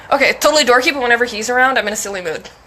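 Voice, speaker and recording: A woman with a high voice swings very widely in pitch over noticeable background noise. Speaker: mental health streamer. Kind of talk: casual chat. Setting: live stream.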